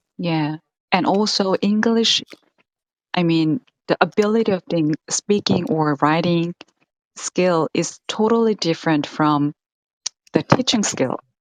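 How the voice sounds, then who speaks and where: Lively intonation in a Korean accent, at a fairly slow pace with long, frequent pauses and a dry, close sound with no echo. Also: woman, fairly low pitch for a woman. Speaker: English teacher and learner. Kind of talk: casual conversation practice. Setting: live stream.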